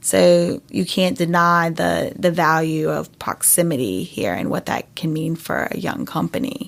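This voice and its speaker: Speaking with a slight North Carolina accent, a woman uses a fairly low pitch with very wide pitch swings and vocal fry. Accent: slight North Carolina Southern. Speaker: startup founder. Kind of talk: interview.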